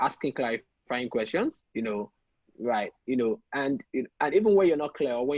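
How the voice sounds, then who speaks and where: A man with an American accent speaks at a moderate pace in a medium pitch, his intonation lively. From Nigeria (Yoruba). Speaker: tech entrepreneur, product manager. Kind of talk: interview. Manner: careful enunciation with many fillers.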